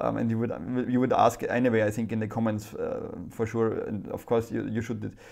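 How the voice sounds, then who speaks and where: Speaking at a fairly quick pace, a man has a German accent. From Germany. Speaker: private investor YouTuber. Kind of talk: casual vlog monologue. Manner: halting. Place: home room. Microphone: lapel.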